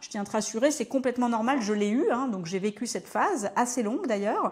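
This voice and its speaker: A woman at a fairly quick pace in a very clean recording with a silent background. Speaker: business coach for entrepreneurs. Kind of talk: talking-head coaching video. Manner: fast; casual, direct address.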